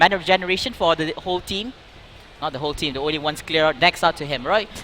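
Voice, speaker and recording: An excited tone comes through at a very fast pace, with noticeable background noise behind it. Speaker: esports match shoutcaster. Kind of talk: live esports game commentary. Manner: excited, fast play-by-play.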